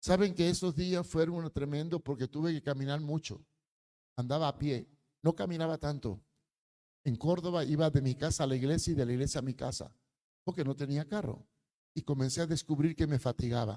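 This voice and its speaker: Speaking at a fairly quick pace, a man uses a fairly high pitch, ordinary pitch variation and a dark, mellow tone. Long, frequent pauses break up his speech, and the sound is dry and close with no echo. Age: 80s+. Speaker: preacher. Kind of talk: sermon.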